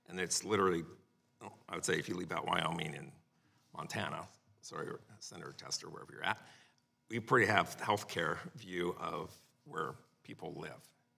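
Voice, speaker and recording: A man speaks with a very deep, low pitch and ordinary pitch variation. His speech has long, frequent pauses. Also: moderate pace. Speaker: witness. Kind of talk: hearing testimony answer. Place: hall. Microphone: podium.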